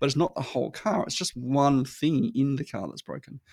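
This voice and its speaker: The man has a medium pitch, vocal fry and an Australian accent. His pitch varies in an ordinary way, and the sound is dry and close with no echo. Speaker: marketing consultant. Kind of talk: casual chat. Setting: remote recording. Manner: repetitive, halting restarts.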